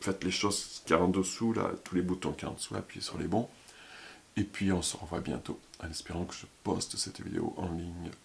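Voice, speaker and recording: Mumbling and somewhat breathy, a man speaks with a very deep, low pitch. His pace is fairly quick and his intonation fairly even. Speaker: YouTuber, former French teacher. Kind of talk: casual vlog monologue. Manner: fast.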